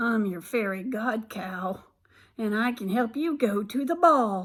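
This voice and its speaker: Using a put-on character voice, a woman with a fairly high pitch speaks at a fairly slow pace on a very clean recording with a silent background. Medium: read story.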